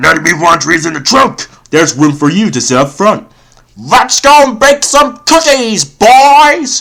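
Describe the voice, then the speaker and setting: A man does a cartoonish character voice at a high pitch. He moves at a moderate pace with very wide pitch swings. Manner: gruff, greedy.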